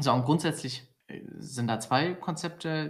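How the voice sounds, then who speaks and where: This man's voice is somewhat breathy and shows ordinary pitch variation. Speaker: podcast co-host. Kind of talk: casual chat.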